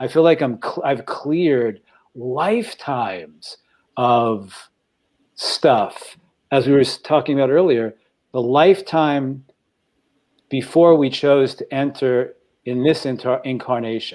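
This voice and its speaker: A man's fairly high voice at a fairly slow pace, with long, frequent pauses and ordinary pitch variation. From New York (Staten Island). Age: 60s. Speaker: panel guest. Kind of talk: emotional sharing in panel discussion. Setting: studio. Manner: halting.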